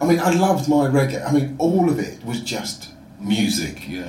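Over noticeable background noise and audible room echo, a man with a South London accent talks at a medium pitch with lively intonation. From London (Croydon), England. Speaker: entrepreneur, music platform founder. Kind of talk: casual chat.

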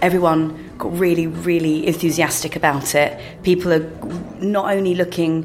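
A woman speaks with a London accent over noticeable background noise. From London (Paddington, Neasden, Greenford). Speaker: drinks writer. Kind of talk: casual chat. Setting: bar lounge high in a skyscraper.

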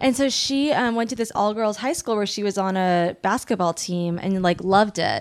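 Her voice is a plain, everyday voice at a medium pitch with ordinary pitch variation. This woman keeps a moderate pace with hardly any pauses. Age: 30s. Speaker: writer and actor. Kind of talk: casual chat.

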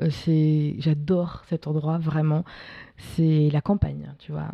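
Very deep and low in pitch, a woman's somewhat breathy voice has a dark, mellow tone. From France, Paris. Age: 20s. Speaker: documentary filmmaker. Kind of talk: casual interview. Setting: at her home.

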